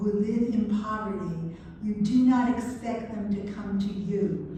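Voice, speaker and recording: A woman with a fairly high pitch speaks very slowly and with fairly even intonation. Audible room echo and noticeable background noise are present. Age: 70s. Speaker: religious sister and lecturer. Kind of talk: lecture.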